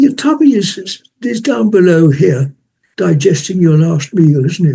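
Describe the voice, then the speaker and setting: A man speaks at a fairly slow pace in a dark, mellow tone, his pitch swinging very widely. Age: 80s+. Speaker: meditation teacher. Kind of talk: interview answer. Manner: quiet, soft-spoken.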